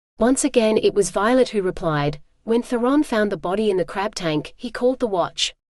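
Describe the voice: Lively intonation runs through the delivery. It is plain reading aloud.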